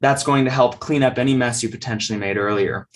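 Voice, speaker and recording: With ordinary variation in his pitch, a man talks in a medium register. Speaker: public speaking coach. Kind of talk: lecture. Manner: fast.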